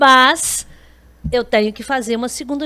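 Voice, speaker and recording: A woman speaks with a bright, sharp tone. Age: 60s. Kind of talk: podcast interview.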